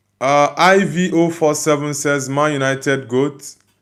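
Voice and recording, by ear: Speaking at a fairly slow pace, a man has a fairly high pitch, a fairly bright tone and fairly even intonation.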